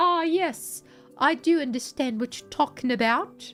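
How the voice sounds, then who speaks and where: A female-sounding voice performs a put-on character at a high pitch and a moderate pace. Faint music plays in the background. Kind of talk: refined, professorial.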